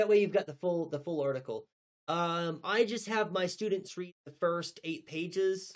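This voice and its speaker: His pitch sits high for a man, with an American accent. He mumbles at a fairly slow pace. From North Texas. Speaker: teacher and livestreamer. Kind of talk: casual livestream chat. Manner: mumbling; hesitant, many fillers and repeats.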